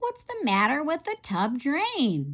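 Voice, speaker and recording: Putting on a character voice, a woman speaks fairly slowly at a high pitch with very wide pitch swings. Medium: read story.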